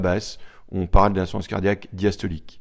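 The man's voice sits very deep and low, captured in a very clean recording with total silence behind it. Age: 40s. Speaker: cardiologist. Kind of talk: interview, medical explanation. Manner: hesitant, many fillers.

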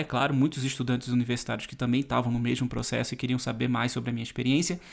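With a silent background on a very clean recording, the voice has vocal fry. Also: man. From Brazil. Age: 30s. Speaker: travel youtuber and podcast host. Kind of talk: solo podcast monologue.

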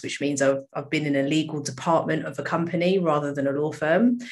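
With a British accent, a woman speaks at a very deep, low pitch and with ordinary pitch variation. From UK. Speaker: solicitor and charity co-founder. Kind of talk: casual interview.

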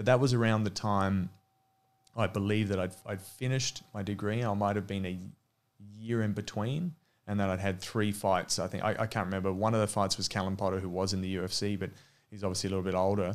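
A man with an Australian accent speaks very fast in a monotone, flat delivery, captured on a very clean recording with a silent background. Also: fairly low pitch for a man. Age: 30s. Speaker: former mixed martial arts fighter and coach. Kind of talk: casual interview.

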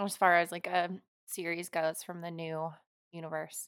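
With an American accent, a woman speaks in a bright, sharp tone with a dry, close sound and no echo. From Oregon, US West Coast. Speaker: podcast co-host, dance fitness instructor. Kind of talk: casual chat. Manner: hesitant, many fillers.

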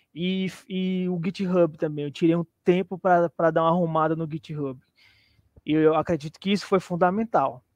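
A man's high-pitched voice at a moderate pace, fairly even in intonation, dry and close with no echo against a quiet background. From Brazil, Teresina, Piauí. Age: 40s. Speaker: junior programmer, former musician. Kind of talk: live interview.

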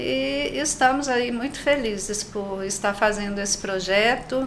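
A woman of medium pitch is heard with audible room echo and noticeable background noise. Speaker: nurse and missionary. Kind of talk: panel discussion.

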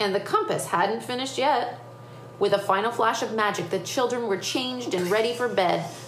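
With ordinary shifts in pitch, the reading voice sounds unforced.

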